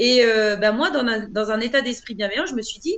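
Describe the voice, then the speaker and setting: Speaking at a moderate pace, a woman has a high pitch. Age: 40s. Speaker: author and trainer. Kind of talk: interview. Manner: hesitant, many fillers.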